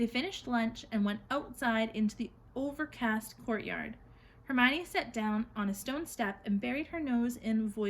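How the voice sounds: Natural reading comes through here. Pitch shifts in an ordinary way.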